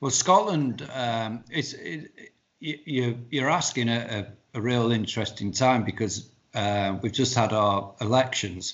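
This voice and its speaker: Medium in pitch, this man has an unremarkable speaking voice. He talks at a fairly slow pace with ordinary pitch variation. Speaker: band insider, zine writer, website runner. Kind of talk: casual interview chat.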